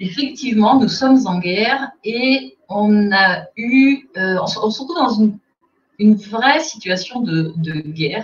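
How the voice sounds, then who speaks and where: The speaker is a woman with a fairly high pitch. Her voice moves through very wide pitch swings. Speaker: communication agency director. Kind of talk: webinar presentation.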